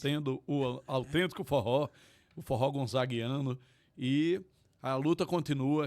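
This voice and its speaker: A medium-pitched man in a northeastern Brazilian accent, ordinary pitch variation, very clean recording over a silent background. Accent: northeastern Brazilian, sertanejo. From Pernambuco sertão, Tacaratu. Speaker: forró venue owner, lawyer. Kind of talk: interview. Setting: studio.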